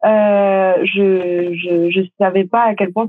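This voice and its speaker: Intonation remains fairly even throughout. The speaker is a woman. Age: 20s. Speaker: actress and audiobook narrator. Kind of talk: interview.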